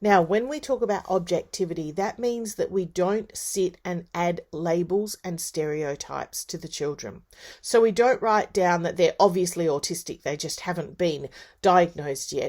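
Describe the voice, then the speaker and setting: Recorded very cleanly against a silent background, a woman with a plain, everyday voice speaks fairly low at a moderate pace with ordinary pitch variation. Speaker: university lecturer in early childhood education. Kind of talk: lecture.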